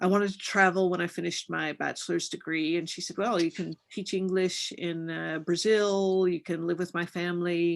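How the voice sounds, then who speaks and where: A woman's fairly low voice with an American accent, monotone and flat, at a moderate pace with hardly any pauses, against a quiet background. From US South, Kentucky. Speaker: professor. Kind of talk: interview answer to online audience. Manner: hesitant, many fillers.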